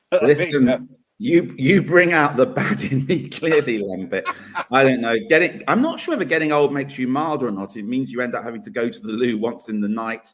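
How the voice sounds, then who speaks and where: A plain, everyday voice from a man, medium in pitch, with lively intonation, big swings in loudness, and a fairly quick pace. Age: 60s. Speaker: political talk show co-host. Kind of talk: casual debate chat.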